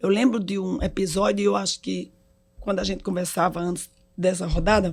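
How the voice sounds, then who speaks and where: A woman with vocal fry talks at a fairly quick pace, her medium pitch carried by fairly even intonation. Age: 60s. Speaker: hospital executive. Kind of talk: casual chat.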